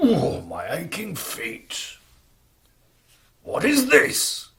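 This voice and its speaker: In a put-on character voice, the speaker rumbles gruffly at a very slow pace. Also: man. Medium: stage play. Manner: grumbling, gruff.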